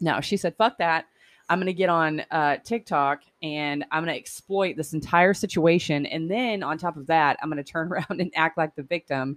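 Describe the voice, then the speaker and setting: A woman's fairly low voice, dry and close with no echo, ordinary pitch variation, a moderate pace, and a very clean recording with a silent background. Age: 30s. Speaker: podcast host. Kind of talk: casual chat. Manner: animated.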